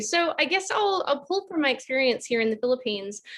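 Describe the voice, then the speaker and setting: A woman with an Australian accent speaks in a high, bright, sharp voice. Her pitch swings very widely against a quiet background. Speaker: advisory firm director, panelist. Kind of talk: online panel discussion.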